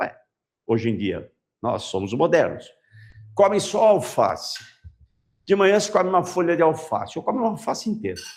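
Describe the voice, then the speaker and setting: Amid audible room echo, a man speaks at a moderate pace with long, frequent pauses. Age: 60s. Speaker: biology teacher. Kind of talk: lecture. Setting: classroom with online students. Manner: animated.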